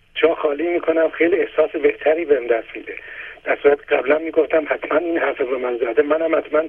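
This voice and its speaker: Very fast speech from a man with a fairly high pitch and fairly even intonation, over noticeable background noise. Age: 60s. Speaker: caller. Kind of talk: phone-in testimony.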